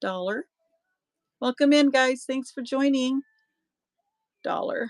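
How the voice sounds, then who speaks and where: A woman's high voice at a very slow pace, with a dry, close sound and no echo. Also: ordinary pitch variation. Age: 60s. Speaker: online auction seller. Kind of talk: live sales stream. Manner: casual, chatty.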